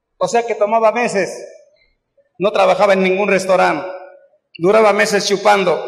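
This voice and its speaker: Over a quiet background with audible room echo, a man talks at a moderate pace. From Mexico City. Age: 80s+. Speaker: recovering alcoholic speaker at AA event; speaker. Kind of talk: testimony. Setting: stage with audience. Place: hall. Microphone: camera far.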